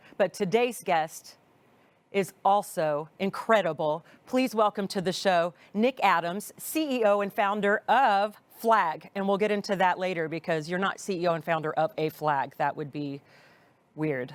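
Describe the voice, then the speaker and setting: A woman with an American accent speaks in a normal speaking voice at medium pitch and a moderate pace, her intonation lively. The recording is very clean, with a silent background. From US, Texas. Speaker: podcast host, salon owner. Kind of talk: interview.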